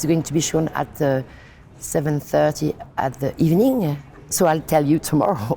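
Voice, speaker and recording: A French accent at a moderate pace with ordinary pitch variation. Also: woman, very deep, low pitch for a woman. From France. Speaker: film director. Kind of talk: interview. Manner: halting.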